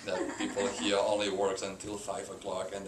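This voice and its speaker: With a Catalan accent, a man speaks at a moderate pace and a fairly low pitch. Audible room echo and noticeable background noise fill the recording. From Spain, Barcelona (Catalonia). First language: Spanish. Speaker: business executive. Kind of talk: interview. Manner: halting, many fillers.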